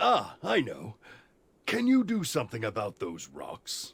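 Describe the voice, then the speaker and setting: Using a put-on character voice, a man talks at a fairly slow pace with very wide pitch swings. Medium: video game. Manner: boastful, grandiose.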